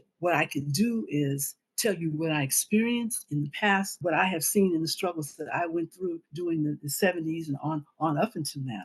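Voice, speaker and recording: A woman speaks with an American accent at a moderate pace. Her fairly low voice is somewhat breathy, with a dry, close sound and no echo. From US Midwest, Jefferson City, Missouri. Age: 70s. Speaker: activist and former party newspaper editor. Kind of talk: interview conversation.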